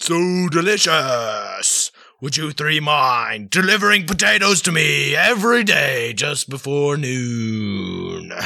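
Using a put-on character voice, a man speaks at a fairly slow pace in a fairly high pitch with hardly any pauses. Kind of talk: comic overacting. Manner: grandiose, mock-archaic, easily delighted.

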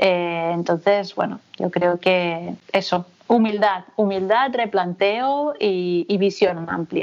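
A woman speaks at a very slow pace, with hardly any pauses. Her medium-pitched voice varies in an ordinary way. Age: 30s. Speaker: sociologist and researcher. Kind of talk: interview conversation. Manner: hesitant, with many fillers and repetitions.

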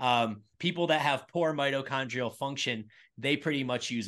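A man's normal speaking voice at a moderate pace with ordinary pitch variation against a quiet background. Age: 40s. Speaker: fitness coach and gym owner. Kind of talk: casual chat. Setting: video podcast recording.

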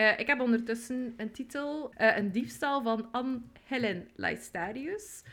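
At a very slow pace, a woman with a high pitch speaks in a West Flemish accent with ordinary pitch variation. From West Flanders, Belgium. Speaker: podcast co-host. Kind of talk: casual chat.

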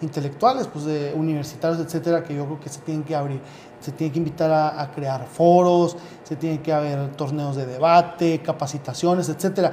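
This man's pitch is fairly high, and he moves at a fairly quick pace with fairly even intonation. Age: 30s. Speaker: youth political party leader. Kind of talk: interview. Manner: halting, many repetitions.

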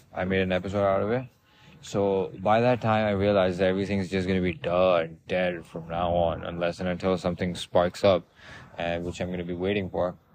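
Very deep and low, this man's voice holds a monotone, flat intonation. He speaks at a fairly quick pace. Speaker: podcast host. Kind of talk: casual monologue. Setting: outdoors in a park. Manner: loud; rambling with fillers.

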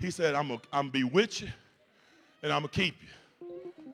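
Music plays in the background as a man speaks in an animated tone. His pitch is fairly high and his pace moderate. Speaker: pastor. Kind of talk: sermon; preacher in full flow, call-and-response with a congregation. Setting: church with congregation. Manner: animated, exhorting the congregation; conversational, humorous, colloquial.

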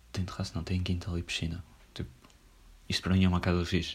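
A man with a very deep, low voice speaks at a fairly quick pace. His tone is relaxed and somewhat breathy. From northern Portugal. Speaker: podcaster. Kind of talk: casual solo monologue. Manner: relaxed, slangy with many fillers.

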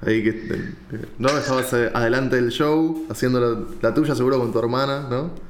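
Audible room echo around a man at medium pitch with ordinary pitch variation. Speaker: podcast host. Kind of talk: interview.

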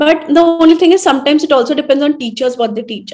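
A high female voice with ordinary pitch variation. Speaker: trainer and social media creator. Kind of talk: casual chat.

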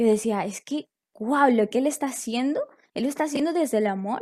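A woman speaks in a high pitch with ordinary pitch variation. The recording is very clean, with a silent background. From Ecuador. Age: 20s. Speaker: life coach. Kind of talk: interview conversation. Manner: halting, with frequent repetitions.

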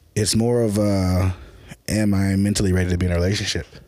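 With a normal speaking voice, a man talks at a fairly quick pace, his fairly low pitch held in fairly even intonation. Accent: American. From US South, Memphis, Tennessee. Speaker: filmmaker. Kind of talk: casual chat.

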